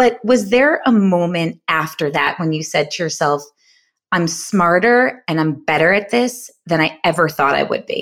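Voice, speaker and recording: With a plain, everyday voice and an American accent, a woman speaks at a moderate pace with a fairly low pitch and lively intonation, in a very clean recording with a silent background. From New York. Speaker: podcast co-host, entrepreneur. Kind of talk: casual chat. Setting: studio, sharing one mic.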